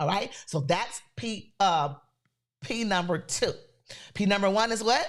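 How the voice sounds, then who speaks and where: A woman's animated tone with lively intonation and a Louisiana accent, on a very clean recording with a silent background. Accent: Southern US (Louisiana). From US South, Louisiana. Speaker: podcast host, creator business coach. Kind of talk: motivational talk.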